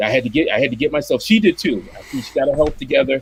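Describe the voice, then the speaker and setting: A man at a very fast pace, fairly high-pitched, with an American accent. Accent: Boston accent, comes out only when angry. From Boston, Massachusetts. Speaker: commercial illustrator and comic artist. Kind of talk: casual chat.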